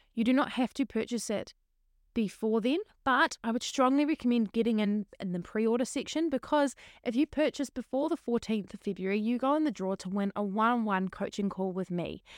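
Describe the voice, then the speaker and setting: A woman with a New Zealand accent, fairly high-pitched, at a fairly quick pace with ordinary pitch variation, in a dry, close sound with no echo and a very clean recording against a silent background. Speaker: podcast host and teacher. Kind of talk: solo casual monologue.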